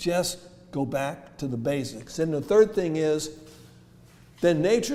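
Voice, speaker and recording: With audible room echo, a man speaks at a moderate pace and a fairly high pitch, with ordinary pitch variation and a dark, mellow tone. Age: 70s. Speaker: health lecturer. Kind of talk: lecture. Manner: interactive, asks audience questions.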